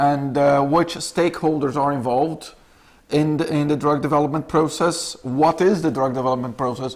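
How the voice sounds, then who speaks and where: With a Brazilian accent, a man speaks with fairly even intonation. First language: Portuguese. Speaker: clinical research representative. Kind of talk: lecture. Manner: halting, many fillers.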